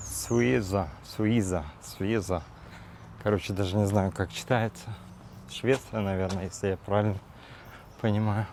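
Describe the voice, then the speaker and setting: This man speaks at a fairly slow pace with long, frequent pauses. His pitch is fairly low, with ordinary pitch variation. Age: 40s. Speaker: vlogger. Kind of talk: casual vlog monologue. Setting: outdoors, walking in a park. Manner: hesitant, with fillers.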